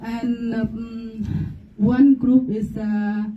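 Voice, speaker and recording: A woman with a Vietnamese accent speaks at a fairly high pitch in a fairly even intonation over noticeable background noise. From Vietnam, Central Highlands (Jarai). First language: Jarai. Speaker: presenter on her culture. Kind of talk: class presentation. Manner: halting, many fillers.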